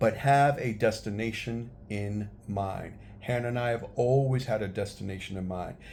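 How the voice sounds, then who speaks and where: In an American accent, a man with a medium pitch and fairly even intonation speaks amid audible room echo. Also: moderate pace. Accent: New York accent, noticed by others. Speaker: travel vlogger. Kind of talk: casual tutorial vlog. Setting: handheld camera, one take.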